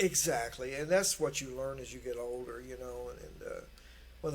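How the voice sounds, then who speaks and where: At a fairly quick pace, a man talks with a Kentucky accent amid audible room echo. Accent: Kentucky Southern US. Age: 60s. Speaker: guitarist. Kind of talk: casual chat. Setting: studio.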